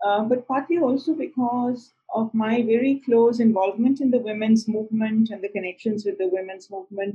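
A woman's somewhat breathy voice with a dark, mellow tone, at a fairly quick pace with hardly any pauses and ordinary pitch variation. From India, Punjab. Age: 60s. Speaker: feminist writer and publisher. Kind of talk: interview conversation.

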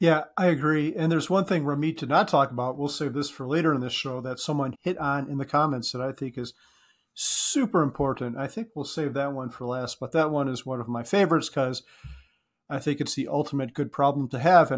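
At a fairly quick pace and a fairly high pitch, a man talks in a normal speaking voice with ordinary pitch variation, in a very clean recording with a silent background. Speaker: podcast co-host.

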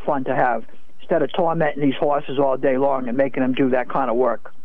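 With noticeable background noise around him, a man speaks fairly quickly in a fairly high pitch. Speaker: caller. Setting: phone call.

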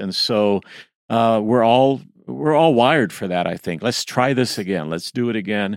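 With lively intonation, a man speaks at a fairly low pitch in an ordinary speaking voice. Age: 60s. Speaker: podcast co-host. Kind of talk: casual chat.

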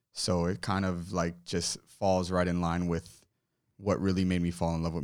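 A man with an American accent speaks at a fairly quick pace with a very deep, low pitch. His intonation is monotone and flat on a very clean recording with a silent background. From South Florida. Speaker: singer-songwriter. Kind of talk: casual chat. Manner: halting, many fillers.

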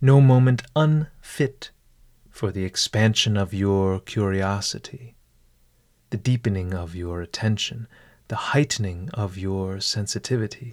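An ordinary speaking voice talks at a fairly slow pace with ordinary pitch variation. The recording is very clean, with a silent background. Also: man, fairly low pitch for a man. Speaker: meditation guide host. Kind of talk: guided meditation with ornate, literary scripted narration. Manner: slow, calm, formal, deliberate, soothing; formal, elevated diction with dry humor.

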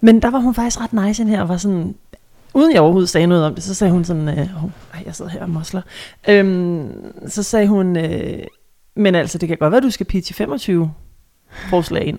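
Big swings in loudness, a fairly quick pace, ordinary pitch variation, a dark, mellow tone and long, frequent pauses. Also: woman. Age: 30s. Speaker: radio host and podcast co-host. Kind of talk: casual chat. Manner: halting, many fillers.

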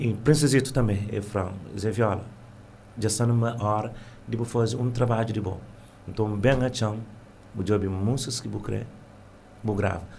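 Somewhat breathy and fairly low in pitch, a man speaks at a moderate pace with fairly even intonation. Long, frequent pauses break up his speech, and room echo is audible. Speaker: singer and music teacher. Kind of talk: radio interview.

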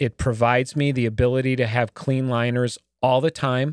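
An unremarkable speaking voice at a moderate pace. The recording is very clean with a silent background and a dry, close sound with no echo. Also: man. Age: 50s. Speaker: podcast host. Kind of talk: casual interview.

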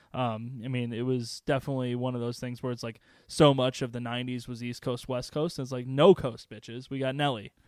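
A man at a fairly quick pace with monotone, flat intonation and hardly any pauses, in a very clean recording over a silent background. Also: medium pitch for a man. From northern Illinois, Chicago area (Waukegan). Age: 20s. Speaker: podcast co-host. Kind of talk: casual chat. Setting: studio.

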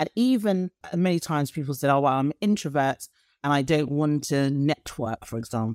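A woman's very deep, low voice with a British accent and lively intonation at a moderate pace, dry and close with no echo, on a very clean recording with a silent background. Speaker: leadership coach and lecturer. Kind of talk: casual interview chat.

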